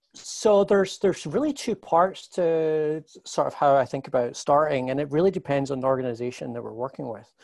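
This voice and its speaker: Against a quiet background, a man speaks fairly quickly with hardly any pauses. His fairly high-pitched voice has lively intonation. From Scotland, Glasgow. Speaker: marketing agency executive. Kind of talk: interview. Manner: halting, many repetitions.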